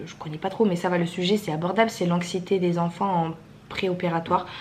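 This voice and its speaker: A woman with a fairly low pitch speaks in a monotone, flat delivery, with noticeable background noise and audible room echo. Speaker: vlogger, mother. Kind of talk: casual vlog talk to camera. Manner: fast; hesitant, many fillers.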